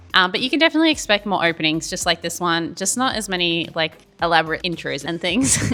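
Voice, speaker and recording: A woman with an Australian accent, fairly low in pitch, bright and sharp in tone, at a very fast pace. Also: ordinary pitch variation. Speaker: YouTuber opening trading card packs. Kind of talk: casual unboxing vlog. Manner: casual, chatty with fillers.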